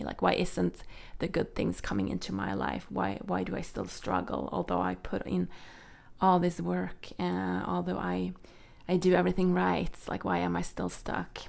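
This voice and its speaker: A woman at a moderate pace, with a Swedish accent. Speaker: tarot reader. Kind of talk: tarot reading. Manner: halting, many fillers.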